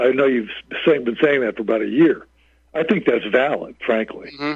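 Moderate pace and medium pitch mark this man's voice. His pitch varies in an ordinary way. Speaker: caller. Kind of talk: call-in commentary. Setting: phone call. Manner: halting, filler-heavy, explanatory.

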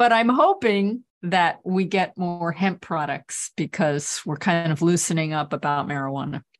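A woman with a plain, everyday voice speaks at a fairly low pitch and fairly slow pace. Her pitch varies in an ordinary way, and she hardly pauses. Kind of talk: casual chat. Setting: video call.

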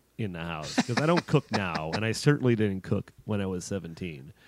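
A man with an American accent, an unremarkable speaking voice, fairly low pitch and lively intonation. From Chicago, US Midwest. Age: 30s. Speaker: horror film writer. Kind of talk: casual chat.

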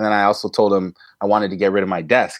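A man with a fairly low pitch talks at a fairly quick pace against a quiet background. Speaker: teacher. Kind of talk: interview.

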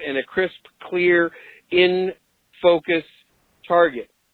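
A man speaks at a high pitch. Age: 50s. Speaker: podcast host leaving voicemail feedback. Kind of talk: voicemail message.

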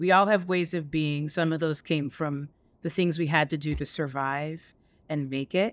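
A woman with an American accent speaks at a very deep, low pitch on a very clean recording with a silent background. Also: fairly even intonation, moderate pace. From upstate New York and Jamaica. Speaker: marketing executive. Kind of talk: interview.

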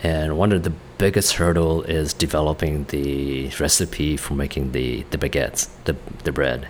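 A man with a Vietnamese accent speaks at a moderate pace in a very deep, low voice with fairly even intonation. Noticeable background noise runs underneath. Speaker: restaurant owner and chef. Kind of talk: interview. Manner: halting.

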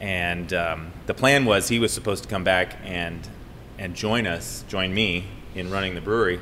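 With an American accent, a man speaks at a moderate pace in a very deep, low pitch, his tone bright and sharp, his pitch varying in an ordinary way, and audible room echo around him. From Colorado, Boulder. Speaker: brewery co-owner. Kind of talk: casual chat.

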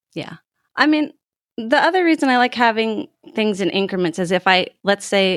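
An ordinary speaking voice, a woman talks at a fairly quick pace with lively intonation, the sound dry and close with no echo, in a very clean recording with a silent background. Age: 30s. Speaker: mother of ten, pastor's wife. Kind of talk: casual interview.

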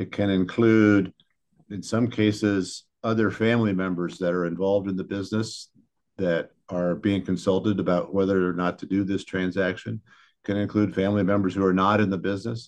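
A man speaks at a fairly quick pace and a fairly low pitch, with monotone, flat intonation. The background is quiet. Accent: Midwestern American. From Northeast Ohio, US. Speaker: business lawyer. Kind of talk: interview.

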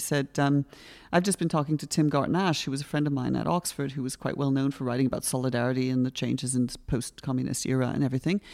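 Over a silent background in a very clean recording, the speaker talks at a very fast pace. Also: woman. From western Canada (Victoria, BC). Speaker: historian and author. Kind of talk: interview. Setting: hotel room at a conference.

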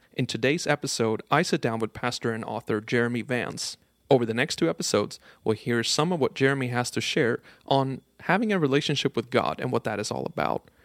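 Talking at a fairly quick clip, a man shows vocal fry in a dry, close sound with no echo. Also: medium pitch for a man, ordinary pitch variation, very clean recording, silent background. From Sweden, Stockholm. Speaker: podcast producer and interviewer. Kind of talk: scripted intro and interview. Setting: conference recording.

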